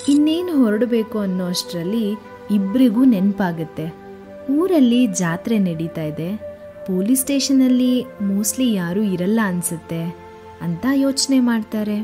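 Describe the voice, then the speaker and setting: Lively intonation from a woman at medium pitch, with music in the background. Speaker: storyteller. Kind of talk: children's bedtime story narration.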